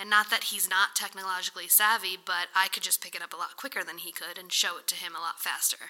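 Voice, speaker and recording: Speaking very fast with hardly any pauses, a woman with an American accent has a bright, sharp tone at a medium pitch. Her intonation is fairly even, though her loudness swings widely. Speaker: real estate agent. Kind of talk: interview.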